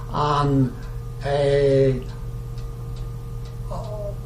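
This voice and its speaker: A man talks in a space with audible room echo, and noticeable background noise can be heard. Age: 90s (80s+). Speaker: retired oil industry worker interviewed about past work. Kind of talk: oral history interview. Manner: halting, many fillers.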